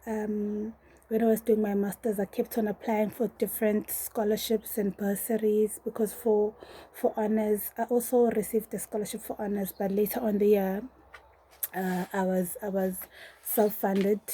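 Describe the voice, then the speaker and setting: A woman speaks at a moderate pace in a dark, mellow, somewhat breathy voice, her fairly high pitch held in a flat, monotone line. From South Africa, Durban. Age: 20s. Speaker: PhD candidate and lecturer. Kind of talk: personal testimony.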